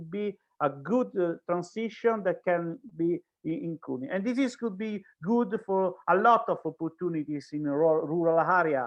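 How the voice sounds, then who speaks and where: A man's high-pitched voice in an Italian accent. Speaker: speaker from an organization. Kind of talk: panel discussion. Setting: online event. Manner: halting.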